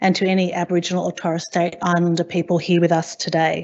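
A woman is speaking. She moves at a fairly quick pace. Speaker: conference presenter. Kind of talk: conference presentation. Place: hall.

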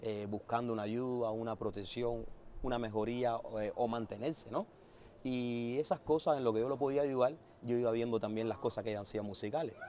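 Dark, mellow male voice with a Havana Cuban accent, fairly quick and fairly even in intonation, dry with no echo, over light background noise. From Cuba, Havana (Centro Habana). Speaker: musician. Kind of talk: interview. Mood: warm, reminiscing. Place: street.

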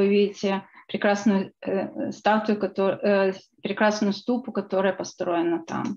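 This is a plain, everyday voice. It moves at a fairly slow pace with fairly even intonation. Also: woman. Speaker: book co-author and researcher. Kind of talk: lecture. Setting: video call.

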